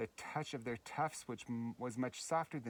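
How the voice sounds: This is a natural reading voice. The pitch shows ordinary variation.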